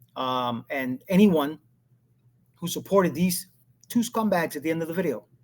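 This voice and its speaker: Animated in tone, a man talks at a high pitch with lively intonation and long, frequent pauses. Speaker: political commentary YouTuber. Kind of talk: casual live monologue. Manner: fast.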